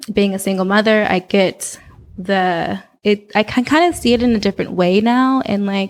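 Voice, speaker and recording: A woman with an American accent, medium pitch, moderate pace and very even loudness. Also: ordinary pitch variation. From Oakland, California. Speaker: model and community organizer. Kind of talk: casual interview.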